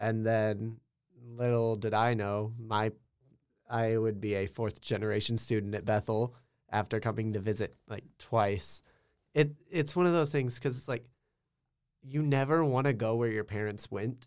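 At a moderate pace and medium pitch, a man talks with ordinary pitch variation in a very clean recording with a silent background. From rural Kansas. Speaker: college student and aspiring actor. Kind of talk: casual chat.

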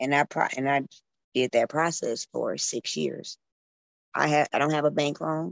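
Speaking with an American accent, a woman keeps a moderate pace broken by long, frequent pauses. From northern Illinois (Waukegan, Chicago area). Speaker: restaurant owner. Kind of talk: casual interview chat.

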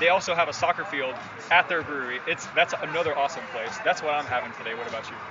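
A man with an American accent races along at a very fast pace, his fairly high voice showing ordinary pitch variation and big swings in loudness over noticeable background noise. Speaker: soccer podcast guest host. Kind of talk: casual chat. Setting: bar / coffee house.

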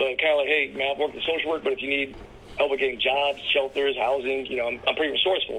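Against noticeable background noise, a man speaks very fast with an American accent. His pitch is fairly high and his intonation monotone and flat. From US Mid-Atlantic, Washington DC area (Takoma Park, Maryland). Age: 40s. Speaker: social worker. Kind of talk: casual chat. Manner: hushed, keeping voice down.

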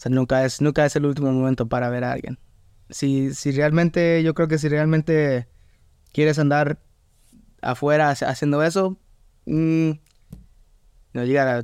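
Fairly slow, fairly even speech from a man with a fairly high pitch, broken by long, frequent pauses. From Atlanta, US, Mexican family. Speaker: DJ. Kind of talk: casual chat. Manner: halting, many repetitions.

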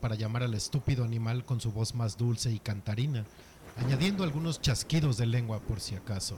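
The pitch varies in an ordinary way as the words are read aloud in a natural voice.

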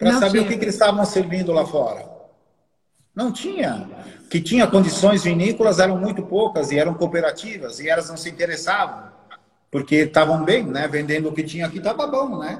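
A man with a high voice talks at a fairly quick clip, his intonation lively. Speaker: winemaker. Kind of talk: casual chat. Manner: hesitant, many fillers.

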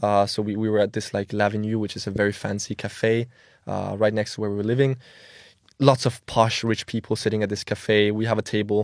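A man with a Danish accent speaks at a fairly quick pace and fairly low pitch, in monotone, flat intonation. The recording is very clean, with a silent background. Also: dry, close sound with no echo. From Denmark, Copenhagen. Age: 20s. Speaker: social media marketing agency owner. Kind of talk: casual chat. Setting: studio.

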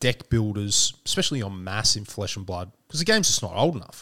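A man at a medium pitch with an Australian accent, on a very clean recording with a silent background. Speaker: podcast host. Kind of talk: casual chat.

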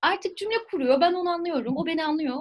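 A woman is speaking. She has a French accent. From southern France, near Marseille. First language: French (speaking Turkish). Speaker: French teacher. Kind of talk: casual interview.

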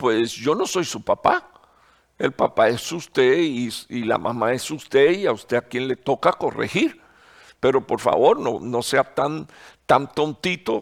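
The sound is dry and close with no echo as a man with a fairly high pitch speaks at a fairly slow pace. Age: 60s. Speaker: pastor. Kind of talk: sermon. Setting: online broadcast. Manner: halting, many fillers and repetitions.

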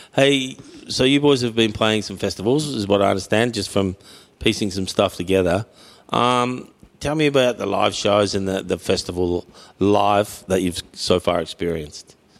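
This man speaks in an Australian accent at fairly low pitch. His pace is moderate, and his pitch varies in an ordinary way. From Mildura, Victoria, Australia. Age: 50s. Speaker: podcast host. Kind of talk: casual interview. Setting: barber shop.

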